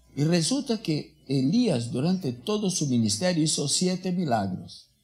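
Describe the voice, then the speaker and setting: A man speaks at a fairly high pitch with very wide pitch swings and very even loudness, over music in the background. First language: not Spanish (speaking Spanish). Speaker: rabbi. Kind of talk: sermon. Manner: halting, self-correcting.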